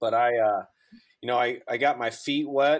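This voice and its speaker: A man with a St. Louis accent at a moderate pace, on a very clean recording with a silent background. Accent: Midwestern American (St. Louis area). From Southern Illinois, near St. Louis. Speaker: college sports information director. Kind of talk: casual interview.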